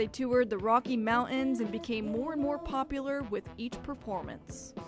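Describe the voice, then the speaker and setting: Over music in the background, a woman with a high pitch speaks at a moderate pace with ordinary pitch variation. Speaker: news anchor. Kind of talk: news feature voice-over narration.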